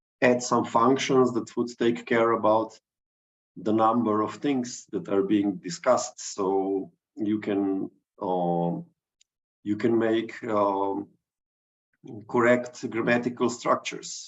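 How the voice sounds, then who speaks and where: Speaking with a Slovenian accent, a man uses ordinary pitch variation at a very slow pace, broken by long, frequent pauses. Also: medium pitch for a man. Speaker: digital artist. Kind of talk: artist talk. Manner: halting.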